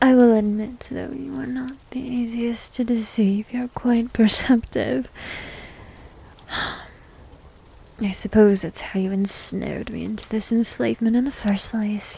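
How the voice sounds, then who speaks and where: The voice is soft-spoken and fairly slow, with long, frequent pauses. The sound is dry, with no echo. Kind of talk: roleplay character monologue. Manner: soft intimate ASMR roleplay voice.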